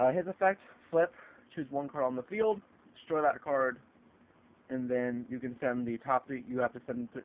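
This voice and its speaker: A man speaks at a moderate pace with a medium pitch and ordinary pitch variation. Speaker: card game video maker. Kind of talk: tutorial. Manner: halting; casual.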